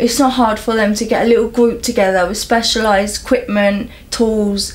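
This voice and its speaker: A woman talks at a moderate pace in a fairly high pitch. Noticeable background noise and audible room echo sit behind her voice. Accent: London. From London. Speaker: local resident campaigning about needles. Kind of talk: interview. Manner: animated.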